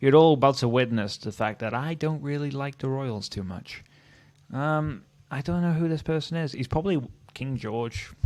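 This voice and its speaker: A man with a Welsh accent speaks at a fairly high pitch. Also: ordinary pitch variation, moderate pace. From Wales. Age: 30s. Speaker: history youtuber. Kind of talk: casual commentary. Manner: casual, hesitant with fillers.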